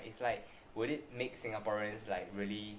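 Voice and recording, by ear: Amid audible room echo, a man talks fast at a fairly low pitch with fairly even intonation.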